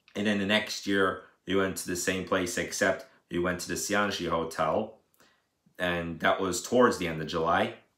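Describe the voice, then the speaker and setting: In a room with audible echo, a man with a very deep, low pitch talks with fairly even intonation. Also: quiet background. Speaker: daily vlogger. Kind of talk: casual vlog chat. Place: home room. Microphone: phone near.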